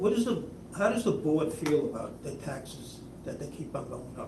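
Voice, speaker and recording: A man's high-pitched voice with lively intonation at a moderate pace, amid audible room echo and noticeable background noise. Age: 70s. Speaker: resident, public commenter. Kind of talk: public comment at board meeting. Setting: school board meeting.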